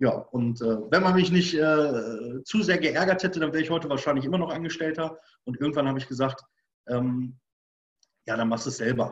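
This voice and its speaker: A man with an unremarkable speaking voice talks at a fairly quick pace, his pitch fairly high and its variation ordinary. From Germany, Bochum (Ruhr area). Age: 40s. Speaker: hunting school owner and instructor. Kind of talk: casual interview.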